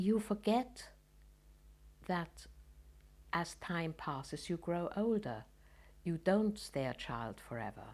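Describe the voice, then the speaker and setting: A woman speaks very slowly, leaving long, frequent pauses, her fairly low voice carrying vocal fry. Her pitch swings very widely, and the recording is very clean with a silent background. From Germany, Munich. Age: 80s+. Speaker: Holocaust refugee, Kindertransport survivor. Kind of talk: testimony. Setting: at home.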